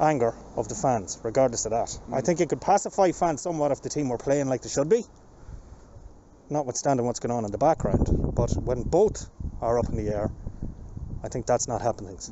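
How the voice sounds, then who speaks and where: A man is speaking over noticeable background noise. The sound is dry, with no echo. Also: fairly quick pace. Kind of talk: interview answer. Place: street. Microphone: handheld.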